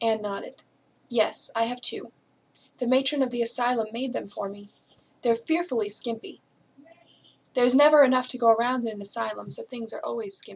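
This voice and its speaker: A woman with an American accent talks at a fairly quick pace yet with long, frequent pauses. Her high pitch shows ordinary pitch variation. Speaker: English teacher reading aloud. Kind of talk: audiobook reading of a classic novel.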